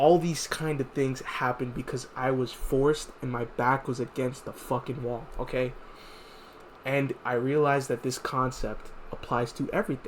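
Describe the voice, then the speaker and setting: This man has an unremarkable speaking voice at a medium pitch. He keeps a moderate pace and fairly even intonation. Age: 20s. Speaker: vlogger giving life advice. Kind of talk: casual motivational monologue.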